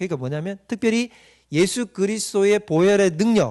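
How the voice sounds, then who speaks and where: With a slight Gyeongsang accent, a man talks at a high pitch with very wide pitch swings. The background is quiet. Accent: mild Gyeongsang. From Gyeongsang Province, South Korea. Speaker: pastor. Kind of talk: lecture. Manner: interactive, frequent rhetorical questions to audience.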